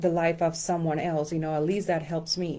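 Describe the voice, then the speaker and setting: In a Spanish accent, the voice carries a dark, mellow tone with monotone, flat intonation. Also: woman. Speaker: life coach and numerologist. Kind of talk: casual instructional talk to camera. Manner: hesitant with many fillers.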